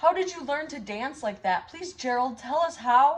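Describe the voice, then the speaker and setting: A woman uses a put-on character voice. It sits high in pitch and moves at a moderate pace. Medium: read story.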